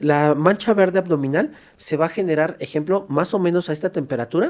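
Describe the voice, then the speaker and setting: Fairly high in pitch, a man speaks with ordinary pitch variation. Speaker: forensic doctor. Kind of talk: podcast interview. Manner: fast.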